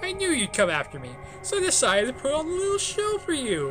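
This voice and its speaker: Over loud music, a high-pitched put-on character voice races along at a very fast pace. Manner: insane, theatrical; menacing.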